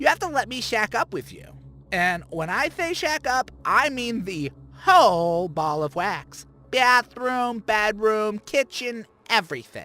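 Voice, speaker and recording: A man uses a put-on character voice, high-pitched for him. It comes out raised and projected at a fairly slow pace. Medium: read story. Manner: campy, playful, teasing.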